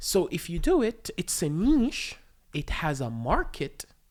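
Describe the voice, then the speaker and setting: On a very clean recording with a silent background, a woman with an Arabic accent speaks with very wide pitch swings. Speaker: stand-up comedian. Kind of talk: casual chat. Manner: stammers.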